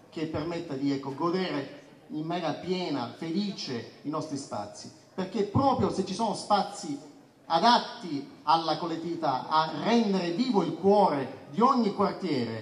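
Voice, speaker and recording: With audible room echo, a man talks at a moderate pace with lively intonation. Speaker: candidate. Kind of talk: campaign speech. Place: street.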